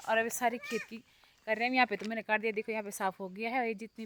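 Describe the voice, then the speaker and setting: A woman speaks with a bright, sharp tone. The sound is dry and close, with no echo. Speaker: vlogger. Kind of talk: casual vlog narration. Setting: outdoors in fields.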